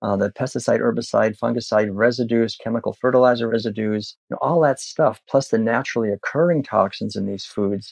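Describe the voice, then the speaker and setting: Speaking at a fairly quick pace with hardly any pauses, a man has an unremarkable speaking voice, a medium pitch and ordinary pitch variation. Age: 60s. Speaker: vegan activist and author. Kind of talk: interview conversation.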